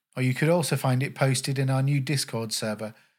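A man's medium-pitched, somewhat breathy voice with a warm, calm tone and fairly even intonation, at a fairly quick pace, on a very clean recording with a silent background. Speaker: podcast host. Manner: warm, calm, welcoming.

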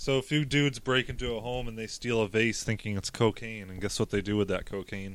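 A man with a normal speaking voice talks at a fairly quick pace and medium pitch, his intonation fairly even and hardly any pauses between words. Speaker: podcast host. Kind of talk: casual comedic chat.

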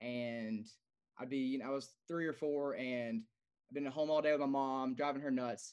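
A normal speaking voice, a man at a fairly high pitch and moderate pace, with ordinary pitch variation and a quiet background. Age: 30s. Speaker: competitive powerlifter. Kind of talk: casual chat.

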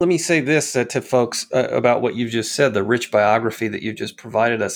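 An unremarkable speaking voice from a man, medium in pitch with ordinary pitch variation, at a fairly quick pace. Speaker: podcast host. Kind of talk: interview. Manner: formal.

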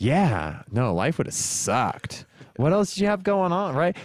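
With an American accent, a man speaks in a very clean recording over a silent background. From California, Stockton. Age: 30s. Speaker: podcast host and musician. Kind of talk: casual chat.

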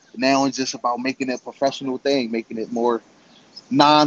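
A man speaks at medium pitch. His pace is fairly quick. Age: 20s. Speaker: amateur MMA fighter. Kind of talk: interview.

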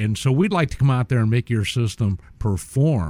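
The man's medium-pitched voice carries lively intonation. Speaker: audio video technician. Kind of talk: radio guest interview with sales pitch. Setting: radio studio.

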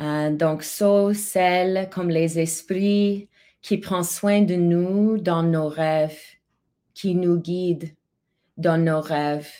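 A woman's very slow, fairly low-pitched speech with fairly even intonation, in a very clean recording over a silent background. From Alberta, Canada (Calgary). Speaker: multidisciplinary artist and singer. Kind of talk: interview.

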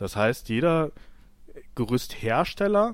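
A man speaks at a very slow pace. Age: 30s. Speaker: scaffolder. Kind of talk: interview.

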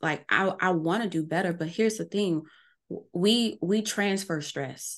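A woman at a moderate pace and fairly low pitch, ordinary pitch variation, quiet background. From New Orleans, US South. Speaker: marketing strategist and coach. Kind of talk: casual interview.

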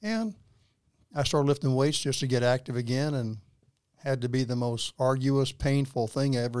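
A man with a Texan accent speaks at a fairly quick pace and medium pitch, his intonation fairly even, on a very clean recording with a silent background. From Texas. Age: 80s+. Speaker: guest, husband of the host. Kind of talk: casual interview conversation. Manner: joking, humorous.

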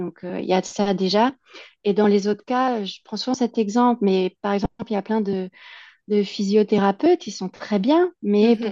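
At a moderate pace, a woman speaks with medium pitch and ordinary pitch variation in a dry, close sound with no echo. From France, Alsace. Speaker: immigration consultant, entrepreneur. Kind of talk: interview. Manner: hesitant, many fillers.

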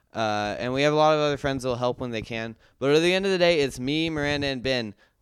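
Fairly quick male speech at a medium pitch, its rise and fall ordinary. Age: 20s. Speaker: stand-up comedian. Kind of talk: casual chat. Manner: halting.

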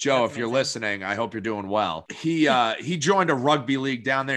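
In a very clean recording with a silent background, a man with a New Hampshire accent speaks at a medium pitch with very wide pitch swings. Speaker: podcast co-host.

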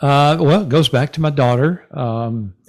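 A man talks in a Texan accent. His pitch varies in an ordinary way. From North Texas (Denison). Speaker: retired salesman and podcaster. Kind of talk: casual interview.

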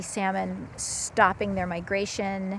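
A woman with a normal speaking voice talks at a fairly slow pace with lively intonation. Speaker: stream temperature researcher. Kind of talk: field interview. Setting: outdoors by a river.

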